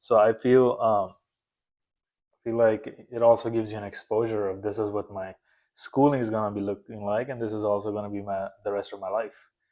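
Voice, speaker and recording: On a very clean recording with a silent background, the speech moves at a fairly quick pace. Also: man. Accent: non-native. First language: not English. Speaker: nurse anesthesia student. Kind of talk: casual interview.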